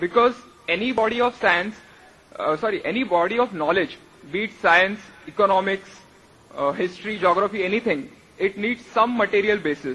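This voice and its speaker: A man speaks in a raised, projected voice at a high pitch. Long pauses come often. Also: ordinary pitch variation. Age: young. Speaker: audience member asking a question. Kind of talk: audience question at public event. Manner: hesitant, with filler uh.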